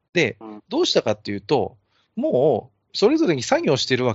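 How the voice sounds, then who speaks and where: Speaking at a moderate pace, a high-pitched man swings his pitch very widely. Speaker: amateur podcast host. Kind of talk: casual chat. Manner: self-described clumsy talker.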